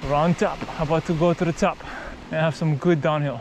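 A fairly quick pace, a dry sound with no echo and noticeable background noise. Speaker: mountain biker vlogger. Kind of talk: casual vlog chat. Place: forest. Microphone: phone near.

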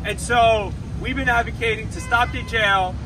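With music playing in the background, a man speaks. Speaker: city council member. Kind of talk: rally speech. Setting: outdoor rally. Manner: earnest, emphatic; declarative, rallying the crowd. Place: street. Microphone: camera far.

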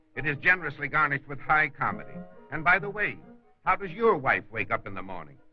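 The speech moves at a very fast pace while faint music plays in the background. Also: man. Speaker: trailer narrator. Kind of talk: dramatic trailer narration. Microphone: old recording.

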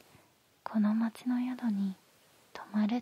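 A woman speaks at a very slow pace in monotone, flat intonation, with a dry sound and no echo. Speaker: storyteller. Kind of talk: soft story reading, ASMR. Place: home room. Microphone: handheld.

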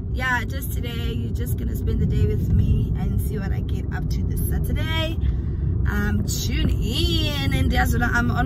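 A woman at a fairly slow pace, dry with no echo, against loud background noise. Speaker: vlogger. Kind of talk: casual vlog chat. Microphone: phone near.

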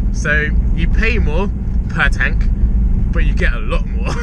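A man speaks over loud background noise, his voice dry with no echo. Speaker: car vlogger. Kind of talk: casual vlog chat. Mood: cheerful, laughing. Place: car. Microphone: camera far.

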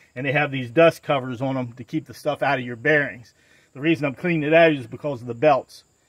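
A man with fairly even intonation, dry sound with no echo and a quiet background. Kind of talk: tutorial. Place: open country. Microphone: phone near.

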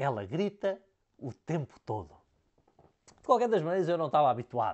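Against a quiet background, a man with a high pitch and a European Portuguese accent talks at a fairly quick pace with very wide pitch swings. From Portugal. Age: 40s. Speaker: business consultant; leadership coach. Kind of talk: talking-head lecture. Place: office. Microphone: lapel.

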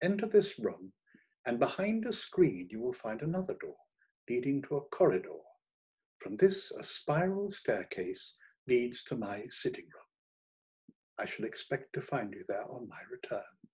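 A man's put-on character voice, medium in pitch with big pitch swings, slightly mellow in tone with a husky, rough edge, at a fairly slow pace

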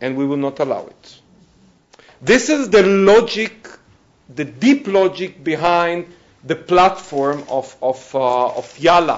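Very slow and full of long, frequent pauses, a man's high-pitched speech has lively intonation and big swings in loudness. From Israel. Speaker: negotiator; panelist. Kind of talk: panel talk. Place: classroom. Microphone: lapel.

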